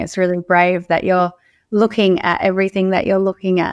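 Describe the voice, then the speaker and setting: A woman with an Australian accent, medium pitch, and a fairly quick pace, on a very clean recording with a silent background. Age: 30s. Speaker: emotional wellness coach. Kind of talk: podcast interview.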